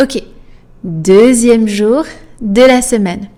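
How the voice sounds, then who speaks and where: In a French accent, a woman talks with a fairly high-pitched voice. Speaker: French teacher. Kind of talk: tutorial. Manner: slow, deliberate enunciation.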